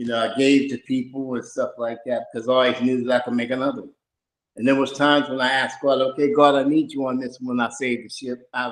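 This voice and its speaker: Talking at a very fast pace, a man delivers his words in a flat monotone while his loudness swings widely. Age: 60s. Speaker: participant sharing spiritual experiences. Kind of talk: personal testimony.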